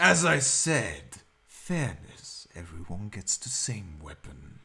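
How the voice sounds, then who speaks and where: This man puts on a character voice at a fairly low pitch. He talks very slowly, his pitch swinging very widely. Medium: actual play. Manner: measured, formal.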